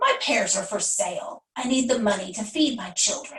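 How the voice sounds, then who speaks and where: A put-on character voice with lively intonation at a moderate pace. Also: woman, high pitch for a woman. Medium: read story. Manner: curt, stubborn.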